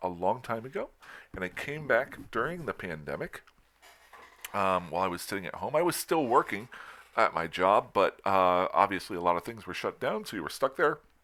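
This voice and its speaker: A man with a fairly low pitch speaks at a moderate pace, his bright, sharp tone carrying lively intonation and big swings in loudness. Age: 50s. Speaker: gaming youtuber. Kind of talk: casual monologue. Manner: halting.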